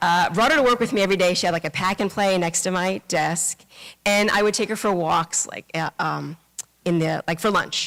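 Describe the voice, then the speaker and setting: A woman speaks with a New York accent at a medium pitch. The recording is dry and close, with no echo. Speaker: Buddhist minister. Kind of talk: dharma talk. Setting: temple service with congregation. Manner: fast; casual, many fillers.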